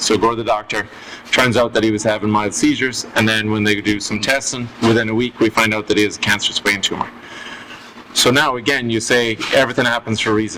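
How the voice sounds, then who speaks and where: Over noticeable background noise, a man with an Irish accent talks at a very fast pace in a monotone, flat intonation at medium pitch. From Ireland. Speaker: storyteller guest. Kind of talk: casual chat.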